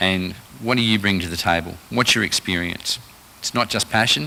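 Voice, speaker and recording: A man's very deep, low voice in an Australian accent, bright and sharp in tone, with ordinary pitch variation at a moderate pace. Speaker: rural finance presenter. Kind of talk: presentation to a live audience. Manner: halting, many fillers.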